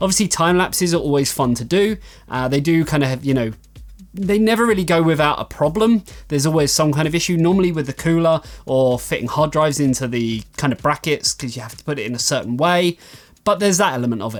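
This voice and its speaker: On a very clean recording with a silent background, a man with a fairly high voice and an English accent talks very fast with lively intonation. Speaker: tech reviewer and website owner. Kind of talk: Q&A vlog. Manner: casual, filler-heavy.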